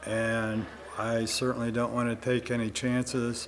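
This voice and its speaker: Medium in pitch, a man's voice is heard. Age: 80s+. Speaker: resident. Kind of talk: interview.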